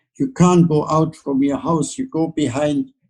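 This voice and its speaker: With a German accent, a man talks at a moderate pace. His tone is dark and mellow. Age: 80s+. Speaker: Holocaust survivor. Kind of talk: interview answer.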